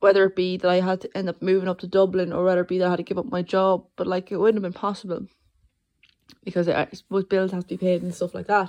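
A woman talks very fast in an Irish accent, her intonation monotone and flat. The sound is dry and close with no echo. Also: medium pitch for a woman. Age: 20s. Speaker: podcast host and master's student. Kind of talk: solo monologue. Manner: halting.

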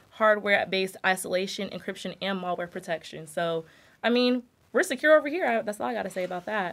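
A woman with an ordinary speaking voice talks at a fairly quick pace. Her pitch is medium with ordinary pitch variation. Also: very clean recording, silent background. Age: 20s. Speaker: product brand manager. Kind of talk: casual interview.

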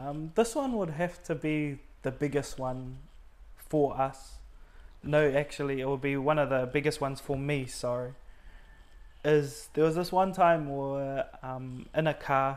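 In a New Zealand accent, a man with a fairly high voice talks at a fairly slow pace with fairly even intonation. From New Zealand, Auckland. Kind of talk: testimony interview.

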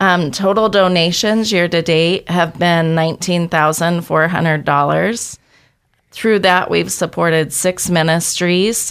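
A woman with an American accent uses a normal speaking voice, fairly low in pitch, at a fairly slow pace. Her intonation is fairly even, and the recording is very clean with a silent background. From Boise, Idaho. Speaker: ministry leader. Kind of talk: radio interview.

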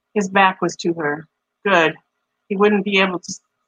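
In a dry, close sound with no echo, a woman with an American accent speaks at a fairly quick pace, with a fairly low pitch, bright, sharp tone and fairly even intonation. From Michigan, US Midwest. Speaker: podcast host and writer. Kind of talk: casual chat.

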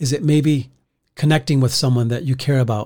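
A man's somewhat breathy voice, fairly high in pitch, dark and mellow in tone, at a moderate pace. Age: 50s. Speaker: pastor. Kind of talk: devotional podcast talk. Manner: halting, many repeated words and fillers.

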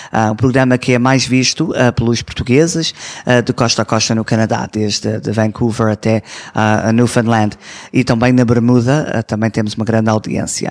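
At a moderate pace, the speech has very even loudness and fairly even intonation, with a dry, close sound and no echo. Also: man, medium pitch for a man. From Toronto, Canada, to Azorean parents. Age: 20s. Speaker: community representative and TV presenter. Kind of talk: interview. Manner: hesitant, many fillers.

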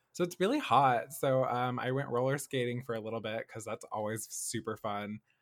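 A man with an American accent, medium pitch and ordinary pitch variation, at a moderate pace with hardly any pauses. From US South, Nashville, Tennessee. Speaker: television production assistant. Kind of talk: casual chat. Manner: animated.

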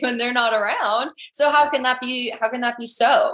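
A woman speaks in a raised, projected voice at a high pitch, with ordinary pitch variation and a moderate pace. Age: 20s. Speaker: podcast host. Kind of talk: casual interview chat. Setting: video call.

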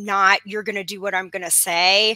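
This woman has an American accent and a medium pitch. Her tone is bright and sharp. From Arizona. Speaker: business lawyer. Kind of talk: interview.

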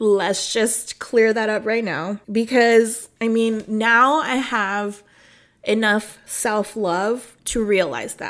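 With an American accent, a woman speaks at a very slow pace in a fairly high pitch with fairly even intonation. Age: 30s. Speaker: nutrition coach and podcast host. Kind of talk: personal storytelling monologue. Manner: casual, conversational.

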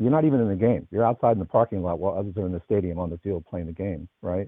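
Here a man speaks with a fairly low pitch and ordinary pitch variation. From US West Coast, Los Angeles. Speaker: think tank leader and senior fellow. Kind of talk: panel discussion.

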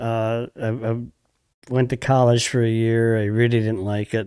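A man with a Wisconsin accent at medium pitch and a fairly slow pace. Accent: Upper Midwest (Wisconsin). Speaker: fishing guide. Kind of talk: casual chat.

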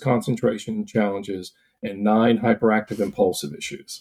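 Using a plain, everyday voice, a man speaks at a moderate pace in a medium pitch with lively intonation. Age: 60s. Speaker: licensed counselor specializing in ADHD. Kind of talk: interview.

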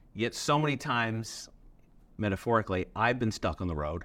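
On a very clean recording with a silent background, a man with a fairly low voice and vocal fry speaks in very wide pitch swings. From Newfoundland, Canada. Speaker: pastor. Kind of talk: interview.

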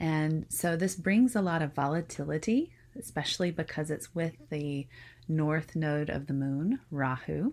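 On a very clean recording with a silent background, a woman speaks at a fairly slow pace in a relaxed tone. Her pitch is very deep and low, yet her intonation is lively. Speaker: spiritual podcast host, Vedic astrology teacher. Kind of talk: solo spiritual talk. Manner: unpolished, relaxed with filler ums.

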